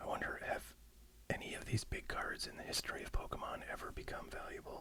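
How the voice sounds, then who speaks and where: The speaker is whispering at a very fast pace. Noticeable background noise can be heard. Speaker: ASMR YouTuber. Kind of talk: ASMR unboxing video. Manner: soft-spoken; casual and rambling.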